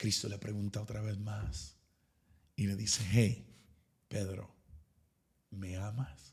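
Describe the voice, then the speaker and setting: A man's fairly low, somewhat breathy voice, very slow, with ordinary pitch variation and long, frequent pauses. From East Texas. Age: 30s. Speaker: pastor. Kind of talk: casual chat.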